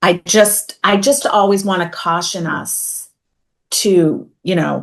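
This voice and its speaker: A woman with a slight Boston accent speaks at a medium pitch. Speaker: uniform industry columnist. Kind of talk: casual roundtable discussion.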